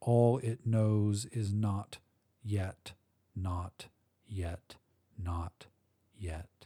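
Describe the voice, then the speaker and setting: A man speaks very slowly with long, frequent pauses, his fairly low voice dark and mellow, somewhat breathy, fairly even in intonation, and recorded dry and close with no echo. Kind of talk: dramatic second-person fiction narration. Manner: hushed, tense, ominous and slow-building.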